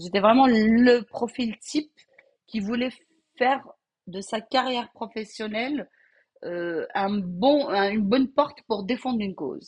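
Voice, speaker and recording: Her intonation is lively and her voice somewhat breathy. The woman speaks at a fairly slow pace with a fairly high pitch. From Algeria (Algiers, Kabyle family). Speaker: home cook and caterer. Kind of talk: interview, life story. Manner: halting, repeats words.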